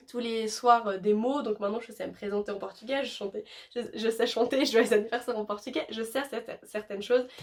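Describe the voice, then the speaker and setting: A woman at a fairly high pitch, fairly quick pace and fairly even intonation. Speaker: YouTuber. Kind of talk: casual vlog talk. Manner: fast; hesitant with many fillers.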